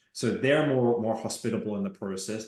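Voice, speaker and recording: With audible room echo around him, a man talks at a fairly quick pace in a medium pitch. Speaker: legal tech expert. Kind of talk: webinar panel discussion.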